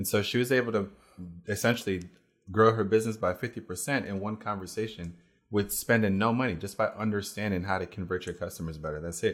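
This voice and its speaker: A man with an American accent and fairly low pitch talks at a very fast pace with fairly even intonation. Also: very clean recording, silent background. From Jamaica, then raised in the US. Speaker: e-commerce entrepreneur and coach. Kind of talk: casual interview.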